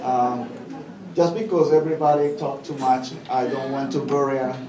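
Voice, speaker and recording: Audible room echo and noticeable background noise surround a man with a Spanish accent whose pitch is fairly high. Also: ordinary pitch variation, moderate pace. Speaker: senior living community employee. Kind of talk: speech at a gala. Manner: halting, many fillers.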